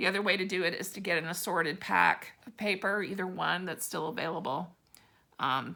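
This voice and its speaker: A woman talks at a fairly quick pace with a medium pitch. Her bright, sharp tone comes with big swings in loudness. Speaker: stamping product demonstrator. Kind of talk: casual talk to camera.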